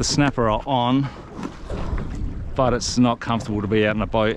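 A man talks at a fairly quick pace. Faint background noise can be heard.

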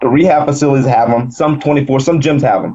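Against a quiet background, a man with an ordinary speaking voice and an American accent talks at a fairly high pitch with ordinary pitch variation. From US South, South Carolina. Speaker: wheelchair bodybuilding champion; interview guest. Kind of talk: interview. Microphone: video call.

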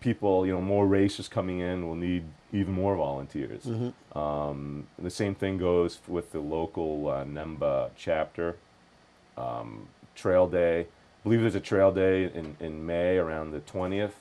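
Very deep and low, this man's voice has a dark, mellow tone. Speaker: guest. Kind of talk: interview answer. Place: studio. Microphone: lapel.

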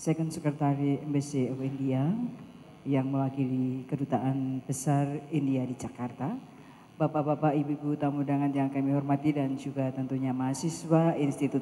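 Very deep, low pitch from a woman, dark and mellow in tone, monotone and flat, fairly quick in pace, with light background noise. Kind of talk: formal event announcement. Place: hall. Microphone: handheld.

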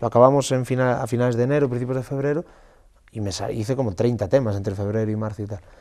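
Against a quiet background, a man with a dark, mellow tone speaks at a fairly quick pace. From Galicia, Spain. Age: 30s. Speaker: singer-songwriter; interviewee. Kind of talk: interview. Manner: animated. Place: meeting room. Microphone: lapel.

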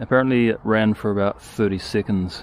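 Over light background noise, a man talks at a moderate pace with ordinary pitch variation in a dry sound with no echo. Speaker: hobby tractor owner. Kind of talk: casual vlog chat. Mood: relaxed, matter-of-fact. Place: open country. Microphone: phone near.

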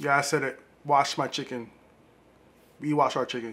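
The speech moves at a fairly slow pace. Its pitch variation is ordinary. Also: man. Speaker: home cook vlogger. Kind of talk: casual cooking vlog chat. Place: kitchen. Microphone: camera far.

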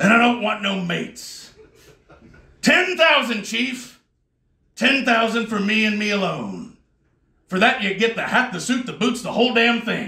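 A man's raised, projected voice at a fairly slow pace, with ordinary pitch variation, long, frequent pauses and audible room echo. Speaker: stand-up comedian. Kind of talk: stand-up comedy set. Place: bar.

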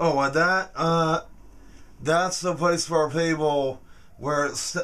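A man's voice with fairly even intonation. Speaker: interviewee. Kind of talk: interview answer. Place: home room. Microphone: phone near.

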